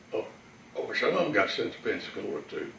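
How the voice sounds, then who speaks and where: A man talks at a moderate pace with a Texan accent. Noticeable background noise is present. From Texas; Houston. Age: 90s. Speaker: Navy veteran. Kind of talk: interview answer.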